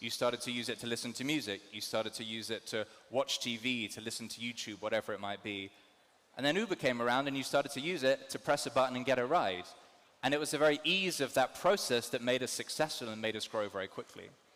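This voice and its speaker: A man at a very fast pace, medium in pitch, with a bright, sharp tone. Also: ordinary pitch variation. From London, England. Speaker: ride-hailing company general manager, conference speaker. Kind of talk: conference talk. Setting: stage with audience.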